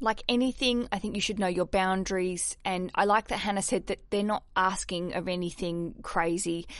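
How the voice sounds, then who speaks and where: At a moderate pace, a woman with an Australian accent speaks with ordinary pitch variation. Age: 30s. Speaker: podcast host. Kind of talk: casual chat; scripted narration. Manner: animated.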